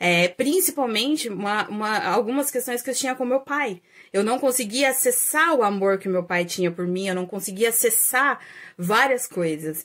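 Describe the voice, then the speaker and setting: On a very clean recording with a silent background, a woman with a fairly high pitch speaks at a moderate pace with lively intonation. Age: 30s. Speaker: astrologer and holistic therapist, video creator. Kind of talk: casual vlog monologue. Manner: hesitant, many fillers.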